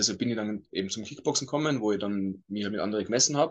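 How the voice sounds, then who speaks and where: A man with a normal speaking voice, medium in pitch, at a fairly quick pace against a quiet background. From Austria, Tyrol (Innsbruck). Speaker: MMA fighter. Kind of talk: interview.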